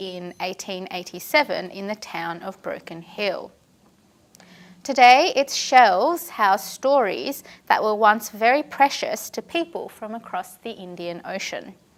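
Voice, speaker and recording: The speaker has an Australian accent, a fairly slow pace and lively intonation, with big swings in loudness. The recording is very clean, with a silent background. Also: woman. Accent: thick Australian. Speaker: historian. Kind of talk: lecture.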